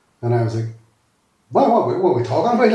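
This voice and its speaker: A man with a Derry accent speaks with very wide pitch swings. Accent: Northern Irish (Derry). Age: 50s. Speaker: former youth worker. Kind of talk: interview. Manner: animated.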